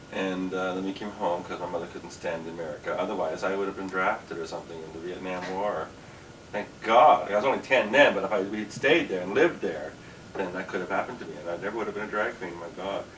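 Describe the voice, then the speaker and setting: Speaking at a very fast pace with a Canadian accent, a man has a very deep, low pitch, over noticeable background noise and audible room echo. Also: ordinary pitch variation. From Canada, Ontario (Kingston). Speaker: drag queen comedian. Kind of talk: interview. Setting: dressing room.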